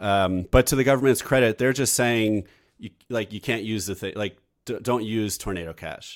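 Recorded very cleanly against a silent background, a man with an unremarkable speaking voice talks at a moderate pace, his fairly low pitch showing ordinary variation. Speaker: podcast host and tech entrepreneur. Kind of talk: casual interview and news report, live recording.

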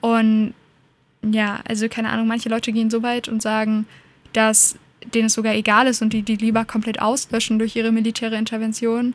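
A woman talks at a fairly quick pace with a fairly high pitch, monotone, flat intonation and very even loudness. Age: young. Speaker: political activist. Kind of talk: interview.

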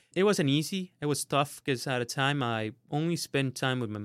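A man speaks in a Spanish accent. The recording is very clean, with a silent background. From Honduras. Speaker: student mentor. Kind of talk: interview. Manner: halting.

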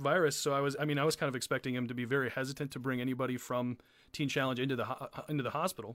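On a very clean recording with a silent background, a man rattles along at a very fast pace with fairly even intonation. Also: medium pitch for a man. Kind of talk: casual chat. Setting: live stream.

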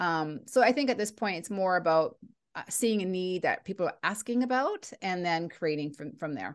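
With a Canadian accent, the speaker uses lively intonation at a moderate pace in a quiet background. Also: woman, medium pitch for a woman. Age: 40s. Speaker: leadership coach and speaker. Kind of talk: interview. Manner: animated.

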